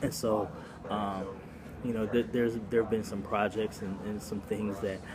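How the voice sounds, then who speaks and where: A soft-spoken man talks in a fairly low pitch. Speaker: former pastor and doctoral student vlogger. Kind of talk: casual vlog monologue. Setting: cafe. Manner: halting, many fillers and repetitions.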